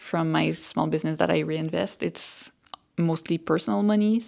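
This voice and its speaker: Speaking with a strong French-Canadian accent, a woman talks at a moderate pace in a fairly low pitch. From Quebec, Montreal. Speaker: artist and small business owner. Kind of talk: casual vlog monologue.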